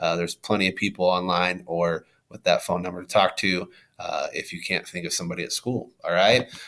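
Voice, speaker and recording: A man with a very deep, low pitch and a bright, sharp tone speaks in a flat monotone, his loudness swinging widely. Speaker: middle school teacher or administrator. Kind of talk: recorded class video talk. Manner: halting, many fillers.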